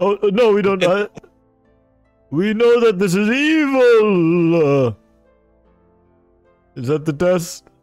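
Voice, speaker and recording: Over faint music in the background, a man uses a high-pitched, put-on character voice, speaking at a very slow pace with long, frequent pauses. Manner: earnest, formal, slow.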